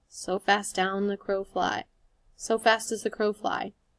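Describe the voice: The text is read aloud. The delivery is plain.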